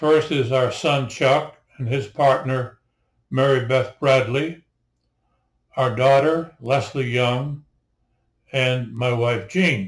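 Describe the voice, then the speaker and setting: In a very clean recording with a silent background, a man speaks very slowly in a somewhat breathy voice with fairly even intonation and long, frequent pauses. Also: medium pitch for a man. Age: 80s+. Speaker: naturalist and local historian. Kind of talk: narration to camera. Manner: halting.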